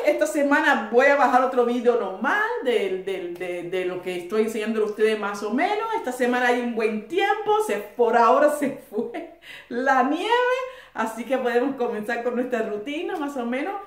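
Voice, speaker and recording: Amid noticeable background noise and audible room echo, a woman speaks at a moderate pace in a high pitch with very wide pitch swings. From Cuba. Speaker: YouTuber. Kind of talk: casual history talk to viewers. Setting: at home. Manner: conversational.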